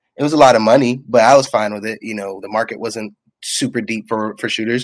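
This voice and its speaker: At a fairly quick pace, a man talks in an unremarkable speaking voice with a medium pitch. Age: 20s. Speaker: sports fan podcast guest. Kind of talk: casual chat.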